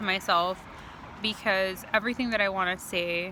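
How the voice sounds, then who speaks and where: Moderate pace from a female speaker. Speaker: spiritual video creator. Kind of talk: casual monologue vlog. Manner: halting, self-correcting.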